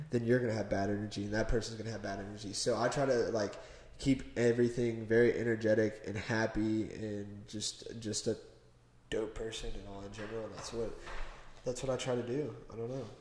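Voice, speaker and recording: A man of medium pitch at a fairly quick pace, with an American accent, big swings in loudness and audible room echo. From US Midwest, Cincinnati. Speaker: car enthusiast guest. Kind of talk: casual chat. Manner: animated.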